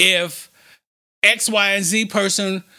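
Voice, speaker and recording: With a bright, sharp tone, a man pitched high raises his voice and projects it. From Chicago, West Side. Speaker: nonprofit foundation president. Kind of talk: interview. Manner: halting, repeats words.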